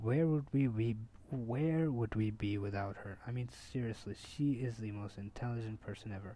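At a moderate pace, a man speaks in a medium-pitched, dark, mellow and somewhat breathy voice with ordinary pitch variation. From India. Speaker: podcast host. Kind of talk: casual chat.

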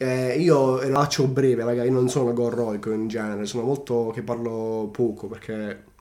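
Noticeable background noise behind a man's fairly even intonation. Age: 20s. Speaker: barber. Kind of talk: testimony. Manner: halting.

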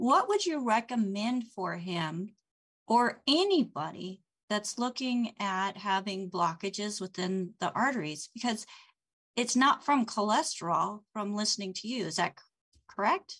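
A woman's plain, everyday voice, fairly high in pitch, with lively intonation, big swings in loudness and a fairly slow pace. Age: 50s. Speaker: show host and health school director. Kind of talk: live stream hosting. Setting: video call.

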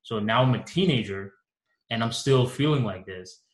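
A man's somewhat breathy voice at a medium pitch and moderate pace. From Bangladesh, moved to US at five. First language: Bengali. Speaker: communications coach. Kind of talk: interview.

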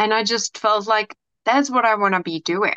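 A woman with a Czech accent speaks at a moderate pace in a bright, sharp tone with ordinary pitch variation. The sound is dry and close with no echo, over a quiet background. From Czech Republic. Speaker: hypnotherapist and coach. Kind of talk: casual interview.

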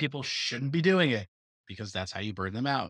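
A man with a medium pitch speaks at a fairly quick pace, his intonation lively and his tone bright and sharp. The sound is dry and close with no echo, over a quiet background. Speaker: podcast co-host; former teacher and coach. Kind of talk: casual chat.

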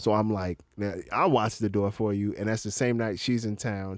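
A man with an American accent and a fairly low pitch uses an ordinary speaking voice at a moderate pace with fairly even intonation, in a dry, close sound with no echo on a very clean recording with a silent background. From Florida, US. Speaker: stand-up comedian. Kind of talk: casual chat. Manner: laid-back, slangy.

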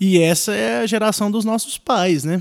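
Pitched high, a man's voice swings very widely up and down. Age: 20s. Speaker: podcast host. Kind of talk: casual chat.

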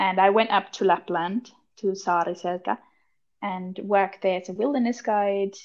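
In an Austrian accent, a woman talks at a moderate pace with medium pitch and fairly even intonation. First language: German. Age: 20s. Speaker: podcast co-host, wilderness guide. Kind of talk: casual chat.

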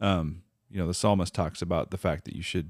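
A man with an American accent, very deep and low in pitch with vocal fry, at a moderate pace, in a dry, close sound with no echo on a very clean recording with a silent background. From Minnesota. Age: 40s. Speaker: father and churchgoer. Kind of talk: casual chat, faith testimony.

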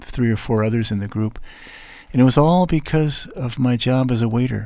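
A man with an American accent speaks at a moderate pace. His pitch is medium, with ordinary pitch variation. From United States. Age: 60s. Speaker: podcast host. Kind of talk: solo monologue. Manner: halting.

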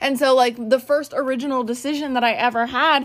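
Loud and animated, a woman speaks fairly quickly at a high pitch. The recording is very clean, with a silent background. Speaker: podcast host. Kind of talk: casual monologue.

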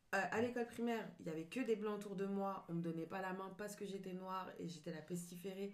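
Audible room echo surrounds a woman talking at a very fast pace. Her pitch is medium and her intonation fairly even. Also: hardly any pauses. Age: 30s. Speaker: journalist. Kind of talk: casual chat.

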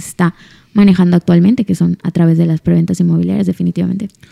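Dark, mellow tones from a woman, the sound dry and close without echo. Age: 20s. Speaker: lawyer in real estate business. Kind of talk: casual interview chat.

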